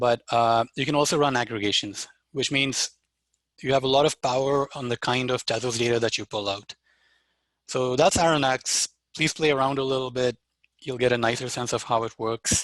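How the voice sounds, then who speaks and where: A man with a plain, everyday voice speaks at a moderate pace in a medium pitch with fairly even intonation, in a very clean recording with a silent background and a dry, close sound with no echo. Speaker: developer workshop presenter. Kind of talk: live software demo tutorial. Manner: casual with fillers.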